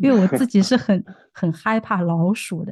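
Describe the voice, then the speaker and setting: A woman's somewhat breathy, dark, mellow voice at a moderate pace, in a dry, close sound with no echo against a quiet background. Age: 30s. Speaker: podcast host. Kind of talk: casual interview.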